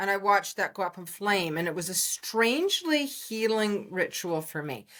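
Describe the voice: A woman speaks at a medium pitch and a moderate pace. Her tone is fairly bright, and her intonation is lively.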